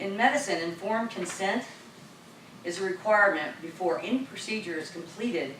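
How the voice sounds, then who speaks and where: With an Ohio accent, a woman speaks at a moderate pace and medium pitch with ordinary pitch variation, leaving long, frequent pauses amid noticeable background noise and audible room echo. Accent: Midwestern American (Ohio). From southern Ohio. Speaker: citizen speaking at council meeting. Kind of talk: public comment speech. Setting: city council meeting, microphone.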